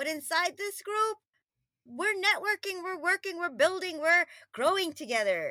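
Extremely high-pitched and raised in a projected voice, a woman speaks at a moderate pace with an animated, bright, sharp tone and lively intonation, the sound dry and close with no echo. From Queens, New York (born in Trinidad and Tobago). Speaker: lifestyle coach. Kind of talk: casual chat.

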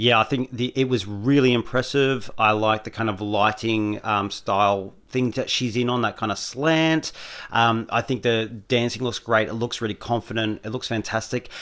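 A man with an Australian accent, medium pitch, at a moderate pace. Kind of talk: casual chat.

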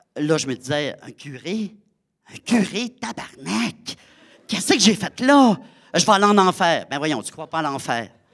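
In a Saguenay–Lac-Saint-Jean accent, the speaker moves at a fairly slow pace with long, frequent pauses, big swings in loudness and very wide pitch swings. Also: man, high pitch for a man. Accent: Quebec French (Saguenay–Lac-Saint-Jean). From Quebec, Lac-Saint-Jean. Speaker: storyteller and theatre performer. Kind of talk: live storytelling performance. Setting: stage with audience.

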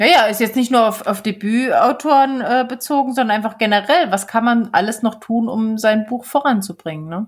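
Her pitch sits fairly high, with ordinary variation. The woman keeps a moderate pace. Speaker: podcast co-host, author. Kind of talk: casual chat.

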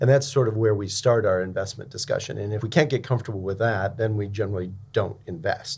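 At a fairly quick pace, a man with a fairly low pitch and ordinary pitch variation sounds somewhat breathy. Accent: American. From San Francisco, US. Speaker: venture capital partner. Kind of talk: interview conversation.

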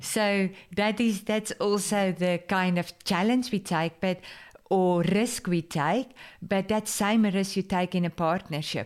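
At a very slow pace, a woman of medium pitch speaks with fairly even intonation and very even loudness on a very clean recording with a silent background. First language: Afrikaans. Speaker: podcast host and business mentor. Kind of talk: casual interview.

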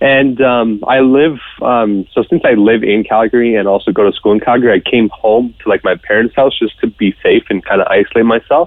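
A man with a normal speaking voice talks at a fairly quick pace in a medium pitch, with fairly even intonation and hardly any pauses. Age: 20s. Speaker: COVID survivor, student. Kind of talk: interview.

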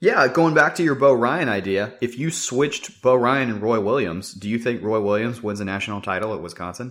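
A man speaks in a normal speaking voice at medium pitch, with ordinary pitch variation. His pace is fairly quick, and the recording is very clean with a silent background. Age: 20s. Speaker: sports podcast co-host. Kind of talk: casual chat.

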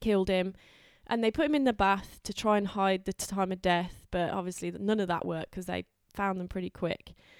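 A woman's plain, everyday voice at medium pitch with ordinary pitch variation. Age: 30s. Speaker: host's girlfriend, guest. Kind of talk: casual chat.

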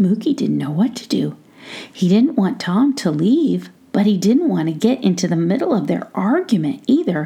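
The voice is natural. It reads a text aloud.

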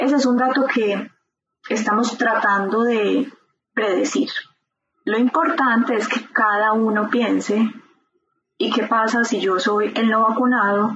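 A woman's fairly high pitch, fairly even intonation and fairly slow pace. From Colombia, Medellín. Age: 40s. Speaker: epidemiologist. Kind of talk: interview.

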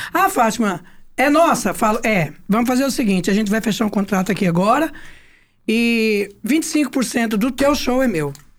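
Very wide pitch swings at a moderate pace and very even loudness, on a very clean recording with a silent background. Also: woman, fairly high pitch for a woman. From Goiás, Brazil (Goiânia). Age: 60s. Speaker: songwriter and singer. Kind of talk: casual interview chat.

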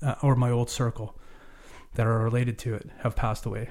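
Over a silent background on a very clean recording, a dark, mellow, somewhat breathy voice speaks at a fairly quick pace. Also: man. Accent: Canadian. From Vancouver Island, Canada (Cowichan Valley). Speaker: charity renovation director, former carpenter. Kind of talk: interview, personal testimony. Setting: recording studio.

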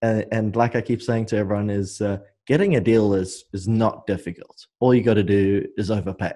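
Against a quiet background, a man talks in a dark, mellow tone at fairly low pitch, with fairly even intonation and a moderate pace. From South Africa. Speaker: real estate investor. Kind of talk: interview. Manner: hesitant, many fillers.

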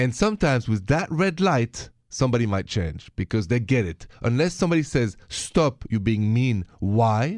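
A man's medium-pitched voice with very wide pitch swings, at a moderate pace with hardly any pauses, on a very clean recording with a silent background. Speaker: radio host. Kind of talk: casual chat.

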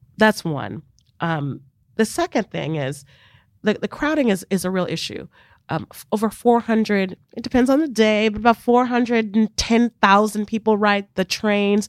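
In a very clean, dry, and close recording with a silent background and no echo, a woman uses an ordinary speaking voice at a fairly high pitch, with lively intonation and big swings in loudness. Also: moderate pace. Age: 40s. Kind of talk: interview. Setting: studio.

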